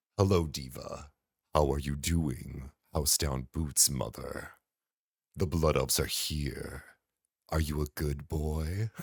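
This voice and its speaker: In a put-on character voice, the speech goes at a fairly slow pace with long, frequent pauses, on a very clean recording with a silent background. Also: man, very deep, low pitch for a man. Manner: put-on, playful.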